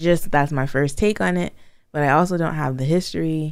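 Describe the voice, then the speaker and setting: A woman with an American accent talks at a moderate pace. Her pitch is very deep and low, and her intonation is lively. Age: 30s. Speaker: podcast co-host, wife and mother. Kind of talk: casual chat.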